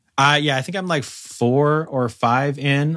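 The voice has a bright, sharp tone, captured in a very clean recording with a silent background. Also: man. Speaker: podcast co-host. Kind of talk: casual chat. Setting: at home, dog in background. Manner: animated, lots of filler words.

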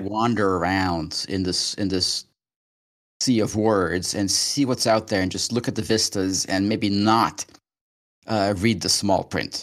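A man speaks in an ordinary speaking voice at a moderate pace, his pitch fairly low. The recording is very clean, with a silent background. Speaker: podcast co-host. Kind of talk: casual conversation.

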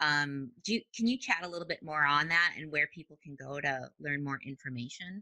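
A woman with an American accent speaks at a moderate pace with hardly any pauses, her very deep, low pitch paired with a bright, sharp tone and ordinary pitch variation. Her loudness swings widely, and the sound is dry and close with no echo. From US Midwest, Minnesota. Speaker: podcast host. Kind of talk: interview. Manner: animated.

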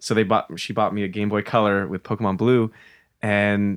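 On a very clean recording with a silent background, a man with an American accent uses an ordinary speaking voice at a medium pitch and a moderate pace. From US Pacific Northwest (Spokane, Washington). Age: 20s. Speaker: DJ and music producer. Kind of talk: casual chat. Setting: studio.

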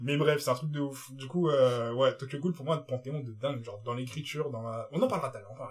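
A man talks at a very fast pace with hardly any pauses and big swings in loudness. His pitch is fairly high, and noticeable background noise is present. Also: ordinary pitch variation. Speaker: podcast co-host. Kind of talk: casual chat. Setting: studio.

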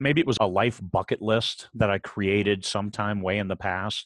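An unremarkable speaking voice, this man with an American accent talks at a moderate pace with a fairly low pitch and fairly even intonation, the sound dry and close with no echo on a very clean recording with a silent background. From US Midwest. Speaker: author and Marine veteran. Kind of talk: interview.

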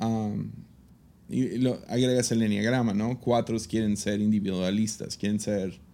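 A dark, mellow tone at a very slow pace. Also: man. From Mexico. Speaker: podcast host and pastor. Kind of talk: casual chat.

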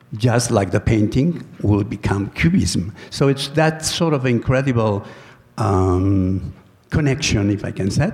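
Somewhat breathy and at a very even loudness, a man talks at a fairly slow pace in a medium pitch. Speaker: food artist. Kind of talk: presentation. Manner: halting.

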